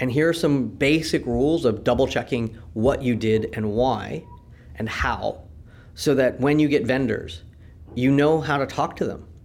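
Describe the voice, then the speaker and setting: A man with a Californian accent and a medium pitch speaks at a fairly slow pace with vocal fry. His pitch variation is ordinary, and audible room echo is present. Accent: American (Californian). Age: 50s. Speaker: law and business professor. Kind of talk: conversational interview. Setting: university conference venue.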